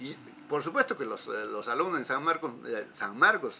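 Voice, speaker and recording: The pitch swings very widely at a moderate pace. Noticeable background noise runs underneath. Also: man. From Peruvian Andes, Huancavelica/Junín. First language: Quechua (speaking Spanish). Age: 70s. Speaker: folk music collector and cultural promoter. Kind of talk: interview. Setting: at home. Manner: halting, many repetitions and fillers.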